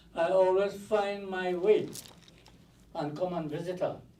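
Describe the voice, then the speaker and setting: Audible room echo follows a man whose high-pitched voice has a dark, mellow tone and a moderate pace. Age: 80s+. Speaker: mourner speaking at a funeral. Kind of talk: eulogy. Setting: funeral home viewing with audience. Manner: halting.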